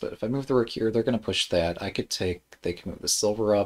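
Lively intonation marks a man's medium-pitched voice. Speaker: shogi streamer. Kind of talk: live game commentary. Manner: casual, hesitant with frequent ums.

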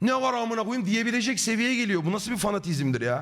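The man's pitch is high. His tone is animated. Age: 30s. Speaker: streamer. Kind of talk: live stream chat.

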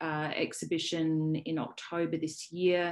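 In an Australian accent, a woman speaks at a fairly low pitch against a quiet background. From South Australia. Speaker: poet and academic. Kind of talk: panel presentation. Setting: video call.

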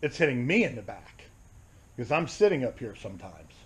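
With an American accent, a man speaks in a somewhat breathy voice. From Florida, Jacksonville. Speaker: fishing charter captain. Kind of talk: casual vlog rant. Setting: outdoors, on a boat, handheld camera. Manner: exasperated, profane and sarcastic, griping aloud while wrestling gear; rambling, conversational, self-interrupting. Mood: annoyed, ranting. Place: garage. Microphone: phone near.

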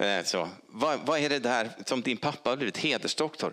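A man's bright, sharp tone with vocal fry at a moderate pace. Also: quiet background. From Sweden, Stockholm; Sweden. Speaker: honorary doctor; honorary doctor giving lecture. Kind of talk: lecture. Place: hall.

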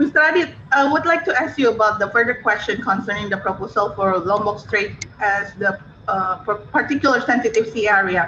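In an Indonesian accent, a woman with a fairly high voice talks at a fairly quick pace with hardly any pauses. Her loudness stays very even over light background noise. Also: lively intonation. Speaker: diplomat; webinar moderator. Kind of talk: Q&A discussion. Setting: video call. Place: office. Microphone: video call.

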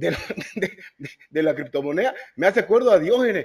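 Very wide pitch swings and a very fast pace from a man, over a quiet background. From South America. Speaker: podcast co-host. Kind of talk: interview. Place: home room. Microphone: video call.

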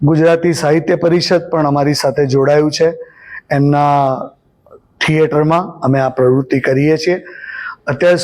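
A man with a normal speaking voice speaks at a fairly high pitch with fairly even intonation. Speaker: singer and composer. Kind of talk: interview statement.

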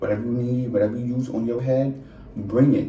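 The recording has light background noise and audible room echo. A man is speaking. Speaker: storyteller. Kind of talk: casual vlog chat. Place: home room. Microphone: phone near.

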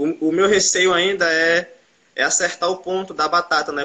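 This is a man speaking. His pitch sits high. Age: 20s. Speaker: aspiring fries-stand entrepreneur; guest. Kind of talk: interview. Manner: fast; halting. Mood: hesitant, a bit discouraged. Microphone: video call.

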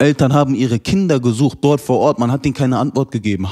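Very fast speech from a man at medium pitch, with fairly even intonation and a quiet background. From Germany, Hanau (Hesse); Hesse, Germany. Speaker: terror attack survivor; interview guest. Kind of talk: interview testimony. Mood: serious, grieving, indignant. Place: studio. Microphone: handheld.

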